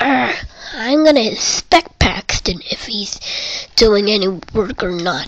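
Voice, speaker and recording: A woman's put-on character voice, fairly high in pitch, at a fairly slow pace. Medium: read story.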